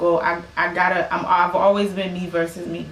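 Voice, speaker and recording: The voice belongs to a woman with a medium pitch. Audible room echo and noticeable background noise surround her. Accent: American. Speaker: singer and musician. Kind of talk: casual podcast conversation.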